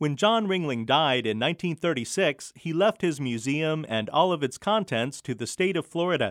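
Here is a man with a normal speaking voice, pitched fairly high. His intonation is lively and he leaves hardly any pauses. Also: moderate pace. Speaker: radio host. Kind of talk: scripted narration.

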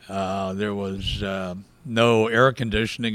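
A man with a Southern US accent speaks at a fairly slow pace. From US South, rural South Georgia. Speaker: historian. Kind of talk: interview.

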